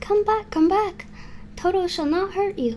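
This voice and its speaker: Squeaky and extremely high-pitched, a woman does a put-on character voice at a moderate pace with lively intonation over light background noise. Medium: read story.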